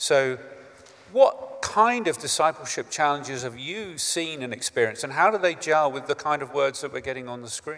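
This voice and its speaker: The man keeps a moderate pace. His loudness swings widely. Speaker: charity chief executive; panel moderator. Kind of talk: speech. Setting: stage with audience. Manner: halting. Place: hall. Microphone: handheld.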